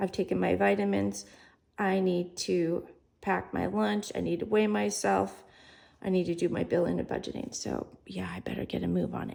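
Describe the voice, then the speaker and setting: A woman puts on a character voice, raspy and very deep, in a low pitch. She speaks at a moderate pace. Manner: talking fast, hurried.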